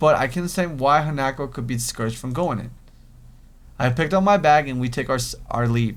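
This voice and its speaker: A man with a Spanish accent and fairly high pitch, at a very fast pace. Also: ordinary pitch variation. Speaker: gaming youtuber. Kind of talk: reading aloud. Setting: facecam gameplay recording. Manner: halting, frequent stumbles.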